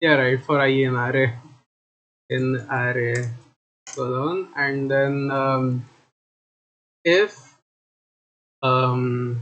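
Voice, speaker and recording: Very slow speech from a man at medium pitch, fairly even in intonation, with long, frequent pauses. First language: not English. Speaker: streamer and game developer. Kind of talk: live stream coding session. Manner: halting.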